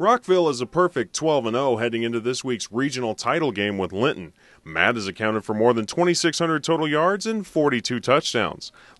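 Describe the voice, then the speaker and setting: A man with an American accent talks at a fairly quick pace, with hardly any pauses and lively intonation, at a medium pitch. It's an ordinary speaking voice, and the sound is dry and close with no echo. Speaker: radio sports reporter. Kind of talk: radio news report.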